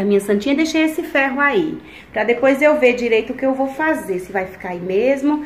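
A woman talks fairly quickly in a high voice, her pitch swinging very widely. Audible room echo and light background noise surround her. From Alagoas, northeast Brazil. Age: 30s. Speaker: family vlogger. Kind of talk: casual vlog talk to camera. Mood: delighted, warm. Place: home room. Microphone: phone near.

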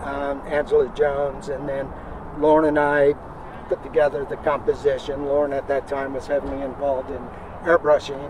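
Over clear background noise, a man talks at a moderate pace in a monotone, flat delivery. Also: medium pitch for a man.

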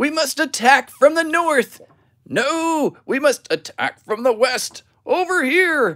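A put-on character voice with a high pitch at a fairly slow pace. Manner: urgent, military.

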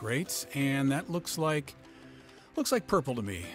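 Over music in the background, a man speaks in a playful tone. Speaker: father. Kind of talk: comedic voice-over narration of a makeup tutorial. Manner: joking, playful, hesitant.

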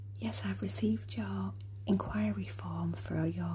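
Whispering and soft-spoken, the speaker goes at a fairly slow pace over light background noise. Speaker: journal maker in a role play. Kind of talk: ASMR role play, soft-spoken appointment. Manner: soft-spoken, whispering. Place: home room.

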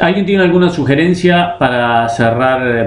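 Here a man talks at a moderate pace with lively intonation. The room's echo can be heard. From Uruguay, Colonia (Carmelo); Uruguay. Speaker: chess teacher. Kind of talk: online class, live lecture. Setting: live stream. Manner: hesitant with fillers. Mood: relaxed, humorous. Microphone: webcam.

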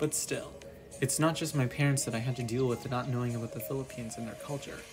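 Music plays in the background as a man talks at a very fast pace with ordinary pitch variation. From Canada. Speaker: YouTuber. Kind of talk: personal vlog narration.

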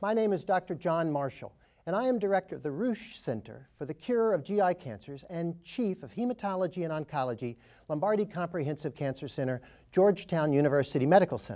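Someone talks at a fairly quick pace against a quiet background. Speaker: panel moderator. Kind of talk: formal program introduction. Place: studio.

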